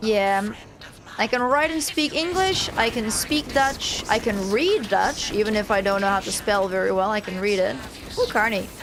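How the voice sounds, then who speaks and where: Over noticeable background noise, a woman with a fairly high pitch speaks at a moderate pace with lively intonation. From Netherlands, moved to New Zealand at about seven. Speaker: gaming streamer. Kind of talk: casual gameplay chat.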